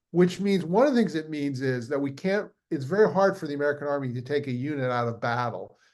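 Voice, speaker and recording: A man speaks at a very fast pace with hardly any pauses. His intonation is lively. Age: 60s. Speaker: historian and author. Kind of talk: interview. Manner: halting, many restarts and fillers.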